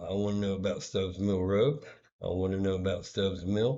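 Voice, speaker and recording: A man talks quietly. His pace is fairly slow. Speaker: vlogger. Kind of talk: personal vlog monologue. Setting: hotel room. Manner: kept quiet, low volume; hesitant, many fillers.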